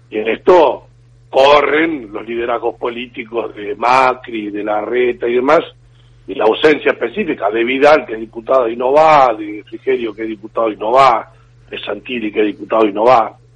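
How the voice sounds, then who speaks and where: With an ordinary speaking voice, a man talks at a moderate pace, at medium pitch and with ordinary pitch variation. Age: 50s. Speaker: politician. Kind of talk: radio interview.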